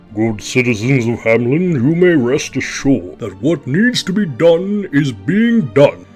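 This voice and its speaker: A man's put-on character voice, fairly high in pitch, with very wide pitch swings, a moderate pace, hardly any pauses, and faint music in the background. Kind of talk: bedtime story. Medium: read story. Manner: pompous, official.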